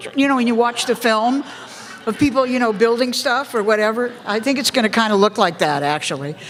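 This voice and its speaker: Someone with an American accent talks at a fairly quick pace with lively intonation amid noticeable background noise. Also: woman, fairly high pitch for a woman. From US West Coast, Los Angeles. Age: 70s. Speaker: politician. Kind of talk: public lecture Q&A. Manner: animated.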